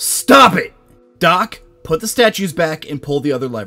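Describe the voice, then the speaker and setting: In a put-on character voice, the speaker sounds gruff, moves at a moderate pace with very wide pitch swings, and faint music plays in the background. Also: man, high pitch for a man. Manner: commanding, gruff.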